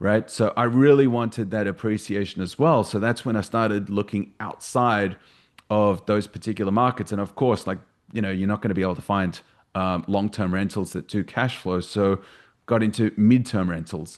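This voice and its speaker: Fairly low male voice in an Australian accent, moderate pace, fairly even intonation. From Australia, Sydney. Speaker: real estate investor. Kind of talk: podcast interview.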